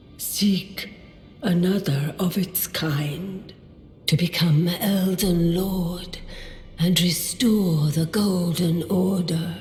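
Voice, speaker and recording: A woman speaks at a medium pitch in a put-on character voice, going very slowly, with clear echo and clear background noise. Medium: video game. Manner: grand, declamatory.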